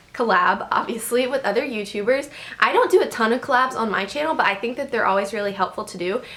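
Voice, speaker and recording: A woman with a fairly high pitch speaks very fast in an animated tone, with ordinary pitch variation and noticeable background noise. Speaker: YouTuber. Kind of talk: vlog advice talk.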